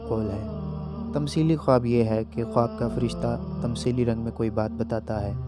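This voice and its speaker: Music plays in the background as a man speaks. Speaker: voice-over artist. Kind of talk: Islamic religious narration.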